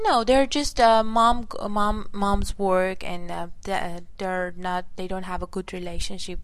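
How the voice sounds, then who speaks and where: Speaking at a very slow pace, a woman keeps her medium-pitched voice in fairly even intonation. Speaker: guest, English learner. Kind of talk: casual chat. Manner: halting, non-native grammar.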